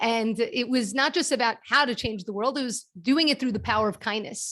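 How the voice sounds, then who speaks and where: A woman with a Brooklyn accent, fairly high pitch and ordinary pitch variation, at a fairly quick pace in a very clean recording with a silent background. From US, Brooklyn New York. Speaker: kindness nonprofit founder and speaker. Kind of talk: presentation to a networking group.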